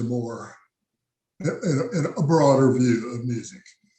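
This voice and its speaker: A somewhat breathy man with an American accent, dark and mellow in tone, at a fairly slow pace. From South Texas. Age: 80s+. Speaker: jazz musician. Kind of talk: interview. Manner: halting.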